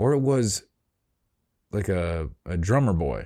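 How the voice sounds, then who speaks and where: On a very clean recording with a silent background, a man's dark, mellow voice sits very deep and low, with very wide pitch swings. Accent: Chicago. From US Midwest, Chicago suburbs. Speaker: solo podcaster. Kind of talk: casual monologue. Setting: home, solo recording. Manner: relaxed.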